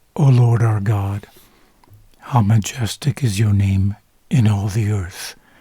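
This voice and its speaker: A man speaks very slowly in a calm, dark, mellow tone that is somewhat breathy and fairly low in pitch. His intonation is fairly even, and he leaves long, frequent pauses. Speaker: Bible reader / ASMR narrator. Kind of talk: sleep-aid Bible reading, bilingual English and Spanish. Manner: soft, calm, slow.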